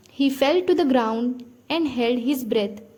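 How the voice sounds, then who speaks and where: A woman with an Indian accent, high-pitched, at a fairly slow pace. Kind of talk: read story for English listening practice.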